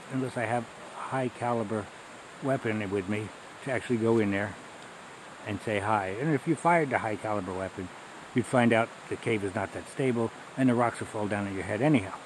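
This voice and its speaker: A man talks fairly quickly in a dry sound with no echo, and noticeable background noise is present. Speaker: hiker vlogger. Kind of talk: casual vlog chat. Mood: relaxed, amused. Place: forest. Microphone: phone near.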